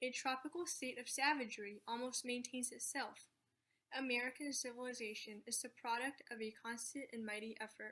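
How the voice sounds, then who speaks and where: A woman with a high pitch and a bright, sharp tone speaks at a moderate pace. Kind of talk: speech read aloud, declamation.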